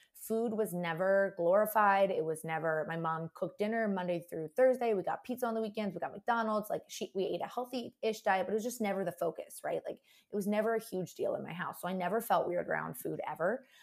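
With an ordinary speaking voice, a woman of medium pitch talks at a fairly quick pace with ordinary pitch variation and hardly any pauses. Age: 20s. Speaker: food blogger. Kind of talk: casual interview.

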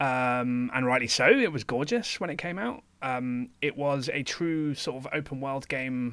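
In a very clean recording with a silent background, a man talks in a normal speaking voice at medium pitch, with ordinary pitch variation, a fairly slow pace and hardly any pauses. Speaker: podcast co-host. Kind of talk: casual chat.

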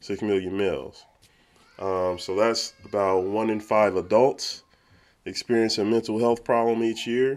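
Music plays in the background while a man with a fairly low pitch speaks at a fairly slow pace and a fairly even intonation. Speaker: podcast host, works with kids. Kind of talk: casual chat.

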